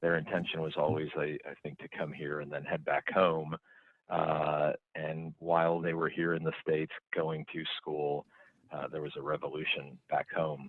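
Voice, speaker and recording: A very deep, low male voice with an Oklahoma accent, monotone and flat, at a moderate pace. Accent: Oklahoma (Okie). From Oklahoma, US (Stillwater). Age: 40s. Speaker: business CEO. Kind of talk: podcast interview.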